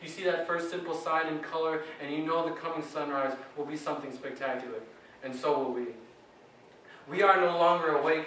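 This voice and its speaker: Over noticeable background noise, a man with an American accent talks at a fairly quick pace with fairly even intonation and long, frequent pauses. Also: fairly high pitch for a man. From Wisconsin. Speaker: slam poet. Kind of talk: slam poetry performance. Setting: live poetry slam, open mic.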